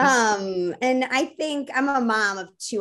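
This is a woman speaking. She talks with an American accent. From US Midwest. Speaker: food company co-founder. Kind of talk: casual interview.

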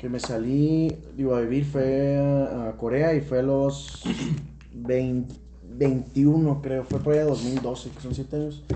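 In a room with audible echo, a man speaks very slowly at medium pitch in a monotone, flat delivery. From Tijuana, Mexico. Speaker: podcast guest, businessman. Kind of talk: casual chat.

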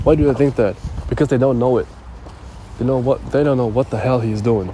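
A man talks at a fairly quick pace with fairly even intonation. Noticeable background noise runs under his voice. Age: 20s. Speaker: podcaster. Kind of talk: motivational monologue. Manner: halting, many fillers.

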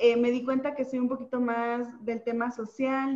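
Through noticeable background noise, a woman speaks at a high pitch. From Mexico, Oaxaca. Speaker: nutritionist and social media content creator. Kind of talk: casual interview.

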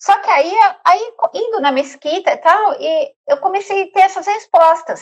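A woman is speaking. Her pitch swings very widely. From Brazil, São Paulo. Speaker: travel agent. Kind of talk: interview.

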